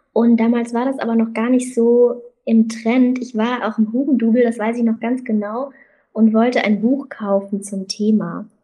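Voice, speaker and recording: Monotone, flat intonation runs throughout. A dark, mellow tone colors the voice. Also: woman, fairly high pitch for a woman, moderate pace. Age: 20s. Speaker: student and magazine founder. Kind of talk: interview conversation.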